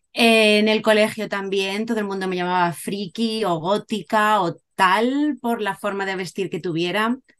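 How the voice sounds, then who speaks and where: A plain, everyday voice from a woman at a medium pitch, fairly slow with hardly any pauses and fairly even intonation. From Cádiz, Andalusia, Spain. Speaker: Spanish teacher and musician. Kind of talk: casual interview.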